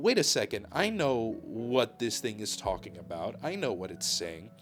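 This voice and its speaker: Music plays in the background while a man speaks. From Balkans. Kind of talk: unscripted rant to camera.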